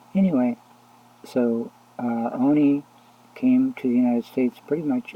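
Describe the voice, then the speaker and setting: Soft-spoken, a man talks at a fairly slow pace with ordinary pitch variation. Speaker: religious video blogger. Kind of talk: casual religious monologue. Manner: halting.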